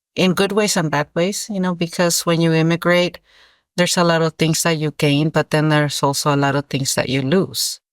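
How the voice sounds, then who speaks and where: A woman speaks at a very deep, low pitch with ordinary pitch variation, a moderate pace and very even loudness. The recording is very clean with a silent background, and the sound is dry and close with no echo. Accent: Spanish. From Mexico, Guerrero (Iguala). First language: Spanish. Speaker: author. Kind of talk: interview. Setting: school podcast interview. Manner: hesitant, many fillers and repetitions.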